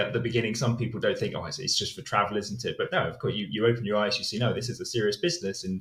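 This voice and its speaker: A man with a British accent, medium pitch and ordinary pitch variation. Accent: English (UK). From southern England, Hampshire. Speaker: English teacher. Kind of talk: podcast interview.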